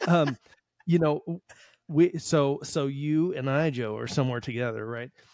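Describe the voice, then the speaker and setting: A man with an American accent speaks in a plain, everyday voice, fairly high in pitch with ordinary variation, at a moderate pace, with a dry, close sound and no echo. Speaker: podcast host. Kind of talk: casual conversational commentary.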